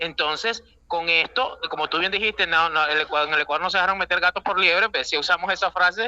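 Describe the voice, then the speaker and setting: A very fast, high-pitched man with a Venezuelan accent and fairly even intonation, dry and close with no echo, over noticeable background noise. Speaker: Ecuadorian politician, former assembly member. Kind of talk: radio interview. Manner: halting, frequent fillers.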